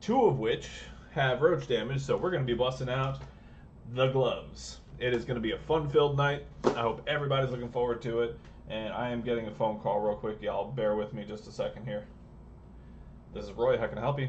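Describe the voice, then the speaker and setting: Fairly quick speech from a man amid audible room echo. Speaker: repair technician and streamer. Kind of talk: live stream repair tutorial. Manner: fast.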